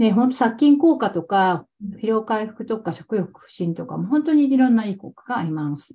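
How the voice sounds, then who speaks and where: A woman's fairly high, somewhat breathy voice with a dark, mellow tone, very wide pitch swings, big swings in loudness, and a moderate pace. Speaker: cooking teacher. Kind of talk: interview. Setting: video call. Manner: casual, frequent fillers.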